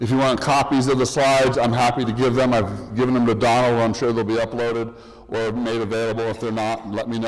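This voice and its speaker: Very fast and with hardly any pauses, a man speaks in a flat monotone at a medium pitch. Background noise is noticeable and room echo audible. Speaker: conference presenter. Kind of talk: conference talk.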